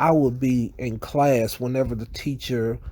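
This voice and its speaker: Medium pitch and fairly even intonation from a man, his tone dark and mellow. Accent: Southern US. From US South. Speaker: YouTuber. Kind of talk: casual vlog monologue.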